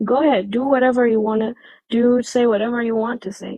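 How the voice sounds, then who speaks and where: This speaker has a non-native accent and fairly even intonation. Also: woman. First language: not English. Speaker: livestream debate participant. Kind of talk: heated debate.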